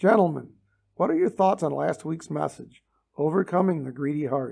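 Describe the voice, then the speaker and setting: Using a put-on character voice, a man sounds raspy at a fairly high pitch. He keeps a moderate pace with ordinary pitch variation. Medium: read story. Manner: earnest, formal.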